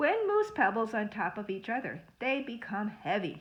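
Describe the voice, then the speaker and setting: Her voice is fairly high-pitched with a bright, sharp tone, coming from a woman. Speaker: school librarian or teacher. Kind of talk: reading aloud lesson for children. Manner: fast. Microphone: phone near.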